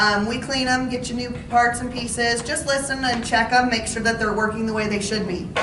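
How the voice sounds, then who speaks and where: A woman at a fairly quick pace in a monotone, flat intonation, with audible room echo and noticeable background noise. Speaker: audiologist. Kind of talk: informational talk to seniors. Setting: talk to residents in a senior living community, with mic. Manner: loud.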